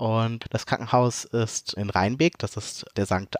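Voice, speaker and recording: The recording has a dry, close sound with no echo, and a man at medium pitch speaks at a moderate pace. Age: 40s. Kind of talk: interview testimony. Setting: video call.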